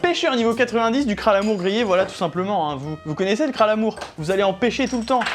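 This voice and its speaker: With music playing in the background, an animated voice talks at a fairly quick pace with hardly any pauses. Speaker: YouTuber hosting a cooking video. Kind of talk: casual cooking show chat. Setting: friend's kitchen with a few onlookers. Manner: fast.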